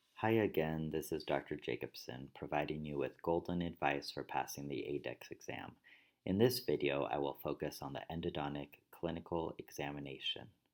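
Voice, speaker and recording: A man speaks with a very deep, low pitch and vocal fry. His pitch varies in an ordinary way, at a moderate pace. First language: Spanish. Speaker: dentist and dental educator. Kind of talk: tutorial. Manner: formal.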